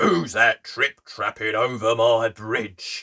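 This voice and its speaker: A man growls in a put-on character voice at medium pitch. He talks at a very slow pace. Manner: menacing, gnashing.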